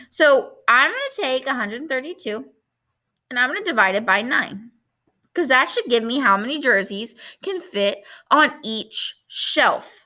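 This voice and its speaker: A woman projects a raised, high-pitched voice with a bright, sharp tone. She moves at a fairly slow pace through very wide pitch swings. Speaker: math teacher. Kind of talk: tutorial. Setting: recorded alone, no audience.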